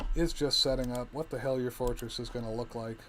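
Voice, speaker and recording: Noticeable background noise sits behind the recording. A man talks at a fairly quick pace with fairly even intonation. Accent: American. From US South, Alabama and New Orleans. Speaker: video game streamer. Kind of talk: gameplay commentary. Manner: casual, relaxed.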